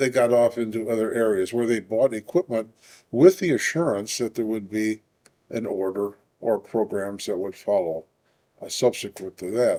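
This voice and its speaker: A man's medium-pitched voice, dark and mellow in tone, moves with lively intonation. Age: 80s+. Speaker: manufacturing company partner. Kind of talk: interview answer.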